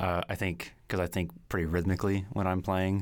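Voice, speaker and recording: In a very clean recording with a silent background, a man with a very deep, low pitch speaks at a fairly quick pace with fairly even intonation. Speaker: music graduate student. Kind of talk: interview conversation.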